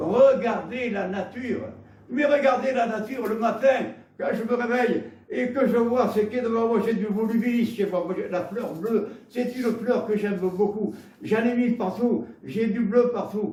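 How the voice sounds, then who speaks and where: Speaking with a southwestern French accent at an extremely high pitch, a man keeps a fairly even intonation, with audible room echo and noticeable background noise. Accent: Gascon. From Gascony, southwest France. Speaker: preacher. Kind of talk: sermon. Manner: halting, with repetitions.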